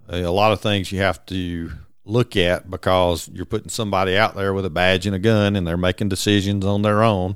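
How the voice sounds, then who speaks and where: In a very deep, low voice, a man speaks at a fairly quick pace with monotone, flat intonation. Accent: Georgia. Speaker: retired game warden colonel. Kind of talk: interview storytelling.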